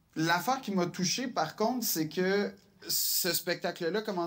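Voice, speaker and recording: A man with a Quebec accent talks fairly slowly at a high pitch. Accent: Québécois French. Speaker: comedian. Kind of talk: interview.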